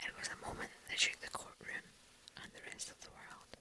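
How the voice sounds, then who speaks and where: The speaker is whispering. Noticeable background noise can be heard. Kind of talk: whispered true crime ASMR narration. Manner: soft-spoken, whispered.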